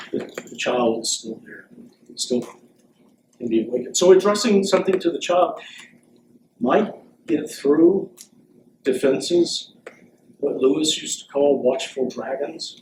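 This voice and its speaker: A man with a fairly high pitch speaks at a fairly slow pace with lively intonation and big swings in loudness. Long, frequent pauses and audible room echo fill the clip. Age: 60s. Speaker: philosophy professor emeritus. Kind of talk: Q&A after a lecture.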